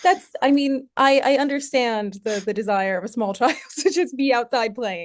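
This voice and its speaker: A woman with an American accent, high in pitch, with lively intonation at a moderate pace against a quiet background. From US Northeast, near New York City. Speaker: academic researcher. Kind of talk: interview conversation.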